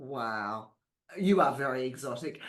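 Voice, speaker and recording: Someone speaks in an animated tone with an Australian accent. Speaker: podcast host. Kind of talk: interview.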